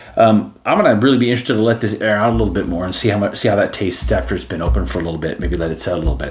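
A man is speaking. His pitch sits fairly low. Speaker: whiskey reviewer. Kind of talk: casual review vlog chat. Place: home room.

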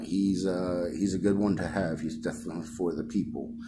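Music plays in the background as a man speaks. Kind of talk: explanation to clerk. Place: office. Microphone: phone near.

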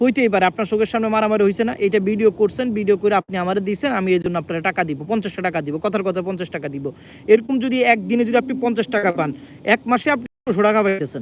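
The man's voice sits high in pitch. His pitch variation is ordinary. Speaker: political commentator vlogger. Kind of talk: casual political commentary live stream. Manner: halting.

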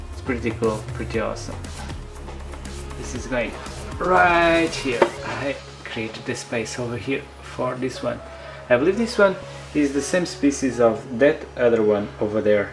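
The speaker keeps a moderate pace with long, frequent pauses while faint music plays in the background. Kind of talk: casual vlog chat. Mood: pleased, enthusiastic. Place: home room. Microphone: phone near.

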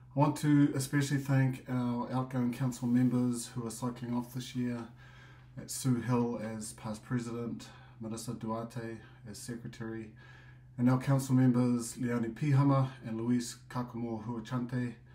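In a room with audible echo, a man with a medium pitch and a dark, mellow, somewhat breathy tone speaks at a moderate pace with monotone, flat intonation. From New Zealand. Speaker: association president. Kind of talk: business meeting report.

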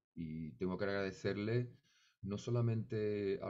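A man's very deep, low voice with a dark, mellow tone and lively intonation over a quiet background. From Seville, Andalusia, Spain; Andalusia, Spain. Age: 50s. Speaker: flamenco musician; interviewee. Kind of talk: interview. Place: home room. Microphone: studio mic.

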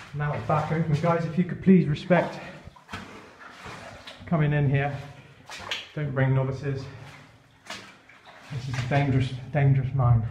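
Over light background noise and audible room echo, a man speaks at a moderate pace with fairly even intonation and long, frequent pauses. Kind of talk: casual vlog chat. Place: tunnel cave. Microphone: phone near.

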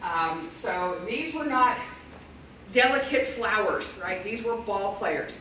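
A woman speaks at a fairly slow pace. Audible room echo and light background noise surround her voice. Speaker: presenter. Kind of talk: lecture. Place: classroom. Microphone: camera far.

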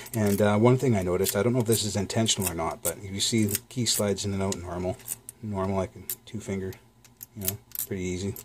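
A man at a fairly low pitch, very fast pace and fairly even intonation, over light background noise. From Canada. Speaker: lock-picking YouTuber. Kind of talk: product review. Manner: casual, hesitant with fillers.

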